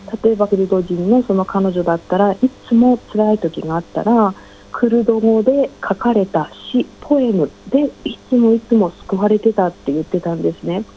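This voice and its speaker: Her medium-pitched voice moves at a moderate pace, showing ordinary pitch variation as noticeable background noise fills the clip. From Japan. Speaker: ink artist. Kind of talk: interview.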